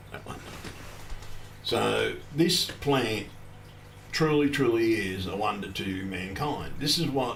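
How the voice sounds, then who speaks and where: With music in the background and audible room echo, a man speaks in an Australian accent. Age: 50s. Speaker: cannabis activist streamer. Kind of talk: casual livestream monologue. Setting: solo livestream at computer. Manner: rambling, halting.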